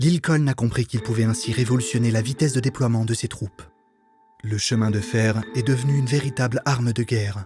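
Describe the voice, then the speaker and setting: Music plays in the background as a man speaks. He talks at a fairly quick pace with fairly even intonation. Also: medium pitch for a man. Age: 20s. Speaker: voice actor. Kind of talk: documentary narration.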